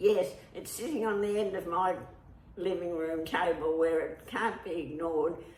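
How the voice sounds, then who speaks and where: The speaker talks at a moderate pace with an Australian accent. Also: woman, fairly low pitch for a woman, ordinary pitch variation. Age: 80s+. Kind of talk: interview answer.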